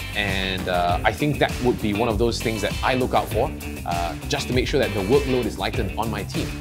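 With clear music in the background, a man with a fairly low pitch talks at a fairly quick pace. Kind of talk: interview answer. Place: cafe.

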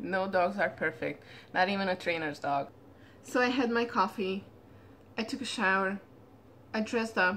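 A woman's bright, sharp tone over light background noise. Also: moderate pace. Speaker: dog trainer. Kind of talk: casual vlog chat. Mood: relaxed morning, just woke up. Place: home room. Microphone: phone near.

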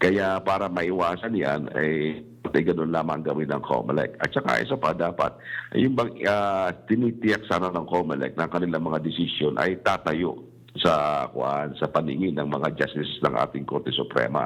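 Lively in intonation, a man speaks with a very deep, low pitch and vocal fry. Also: moderate pace. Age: old. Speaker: election lawyer. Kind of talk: radio interview.

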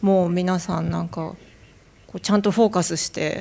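Here a woman is speaking. Her intonation stays fairly even. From Japan. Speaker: artist; panelist. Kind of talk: artist talk. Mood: calm, reflective. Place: hall. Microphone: handheld.

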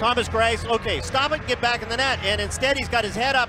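Against noticeable background noise, a man speaks at a fairly quick pace in a raised, projected voice with an extremely high pitch. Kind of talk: live hockey play-by-play with analysis. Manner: animated, fast-paced, excited at goals; explanatory, analytical.

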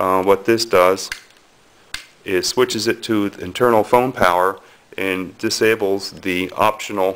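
A man with a fairly low voice speaks fairly slowly in a monotone, flat way. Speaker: hobbyist demonstrator. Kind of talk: tutorial. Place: home room. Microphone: phone near.

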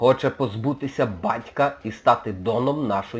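What we hear is a natural reading voice.

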